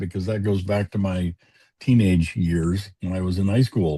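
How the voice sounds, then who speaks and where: Recorded dry and close with no echo over a quiet background, a man speaks in a very deep, low pitch with a dark, mellow tone and a somewhat breathy quality. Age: 70s. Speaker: retired programmer and biker chaplain. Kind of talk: casual interview chat. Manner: halting, many fillers.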